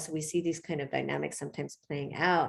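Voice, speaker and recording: A woman with vocal fry at a very fast pace. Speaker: professor. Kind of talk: lecture. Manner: halting, many fillers.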